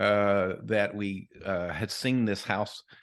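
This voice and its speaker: A man's fairly low-pitched voice against a quiet background. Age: 50s. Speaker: financial podcast host. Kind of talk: casual chat. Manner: halting.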